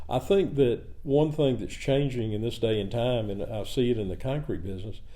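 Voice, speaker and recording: With a Southern US accent, a man talks at a fairly quick pace with ordinary pitch variation, and audible room echo fills the recording. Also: medium pitch for a man. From US South, rural south Georgia near Savannah. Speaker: cement company president. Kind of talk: podcast interview. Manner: halting.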